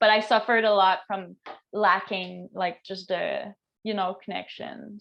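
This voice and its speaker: A woman speaks in a Quebec accent with a monotone, flat intonation. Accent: French Canadian accent in English. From Quebec, French Canada. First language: French. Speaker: astrologer. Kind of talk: casual interview chat.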